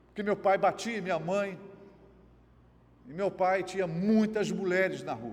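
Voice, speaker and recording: Speaking at a fairly slow pace with long, frequent pauses, a man uses a high pitch and fairly even intonation. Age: 60s. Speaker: pastor. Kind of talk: sermon.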